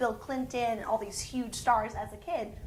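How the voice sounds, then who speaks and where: Through noticeable background noise and audible room echo, a woman with an American accent speaks at a high pitch. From New Jersey, US. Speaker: TV host and entertainment reporter. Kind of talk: interview. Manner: animated.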